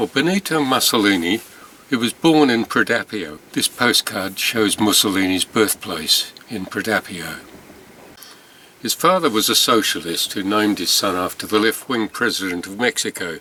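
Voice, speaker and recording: A man with an English accent and medium pitch speaks at a moderate pace with lively intonation, dry and close with no echo, over noticeable background noise. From England. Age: 70s. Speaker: stamp collector. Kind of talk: storytelling narration. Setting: indoors, rainy night. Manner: conversational.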